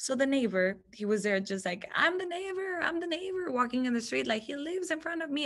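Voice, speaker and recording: A woman with a Spanish accent speaks with very wide pitch swings. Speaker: TV news reporter. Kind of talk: guest talk with Q&A.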